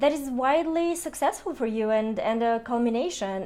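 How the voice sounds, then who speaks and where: A woman with a non-native accent speaks at a high pitch in a dark, mellow tone. Her intonation is lively. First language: not English. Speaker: tarot and Lenormand card reader. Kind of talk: astrology card reading. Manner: hesitant, many fillers.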